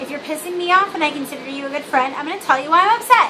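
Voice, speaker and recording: With an American accent and audible room echo, the speaker uses a raised, projected voice at a fairly quick pace, with lively intonation and a bubbly tone. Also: woman. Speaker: video blogger. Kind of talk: casual vlog monologue. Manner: rambling, many fillers.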